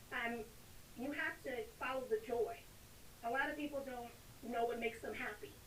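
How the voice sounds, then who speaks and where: A woman with an American accent speaks at a moderate pace in a high pitch with ordinary variation, leaving long, frequent pauses. There is audible room echo and noticeable background noise. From Texas. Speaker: author and spiritual speaker. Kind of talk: casual interview chat.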